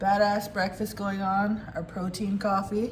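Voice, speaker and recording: Set in a room with audible echo, a woman's somewhat breathy voice at medium pitch moves at a very slow pace. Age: 30s. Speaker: craft vlogger. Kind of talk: casual vlog. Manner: hesitant with many fillers; quiet.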